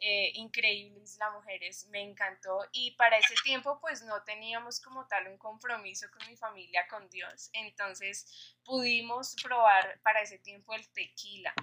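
A woman speaks at a fairly slow pace in a Colombian accent, her pitch fairly high. Her loudness swings a lot, while her intonation stays fairly even. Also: hardly any pauses. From Colombia, Bogotá. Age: 20s. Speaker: young church member. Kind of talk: casual chat.

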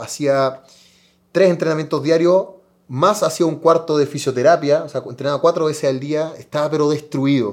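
Using an unremarkable speaking voice, a man keeps a moderate pace and fairly even intonation at a fairly high pitch. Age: 30s. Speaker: karate athlete. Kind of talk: interview.

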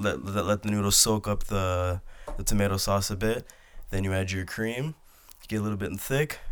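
This man has an unremarkable speaking voice, pitched fairly low. He moves at a moderate pace with ordinary pitch variation. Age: 20s. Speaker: podcast co-host. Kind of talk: casual chat.

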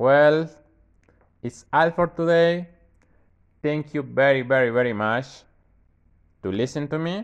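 A man with a Mexican accent speaks at a fairly high pitch, leaving long, frequent pauses. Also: ordinary pitch variation, fairly slow pace. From Mexico. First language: Spanish. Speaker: university student. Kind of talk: tutorial. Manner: casual.

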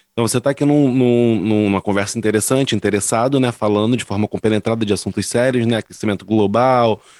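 Speaking at a very fast pace and medium pitch, a man sounds dry and close with no echo in a very clean recording with a silent background. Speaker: podcast co-host. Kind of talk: casual chat.

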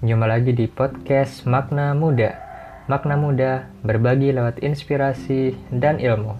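At a medium pitch, a man speaks in an ordinary speaking voice with ordinary pitch variation. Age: 20s. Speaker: podcast host. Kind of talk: motivational talk. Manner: casual.

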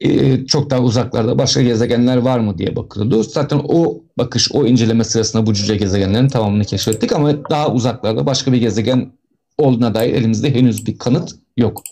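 A man speaks at a fairly quick pace in a dark, mellow tone, with very even loudness throughout. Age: 40s. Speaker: astronomy educator. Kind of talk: live-streamed educational talk.

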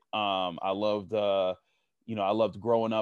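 A man with an unremarkable speaking voice and an American accent talks at a moderate pace in a fairly low pitch. The sound is dry and close with no echo, over a quiet background. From Pittsburgh, Pennsylvania. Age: 30s. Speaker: football analyst. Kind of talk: casual interview.

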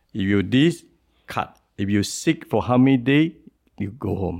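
A man with a strong Singaporean accent, a dark, mellow tone and vocal fry, at a moderate pace. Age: 60s. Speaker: businessman and presidential hopeful. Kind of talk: podcast interview. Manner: informal, non-standard grammar.

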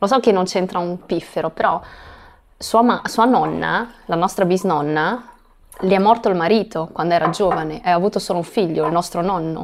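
Using an unremarkable speaking voice, the woman talks at a middle pitch and moderate speed, her pitch shifting in a normal way. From Italy (Ancona), Chinese-Italian family. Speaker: guest, mother of two. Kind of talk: casual chat. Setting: recording in Portugal near Lisbon.

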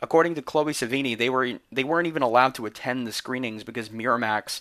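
A plain, everyday voice at a fairly quick pace, with fairly even intonation. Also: man. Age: 20s. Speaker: podcast host. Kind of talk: scripted narration.

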